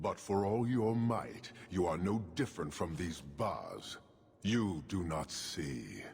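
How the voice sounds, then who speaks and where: Putting on a character voice, a man talks at a fairly slow pace with a fairly low pitch and lively intonation. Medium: video game. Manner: measured, formal, unyielding.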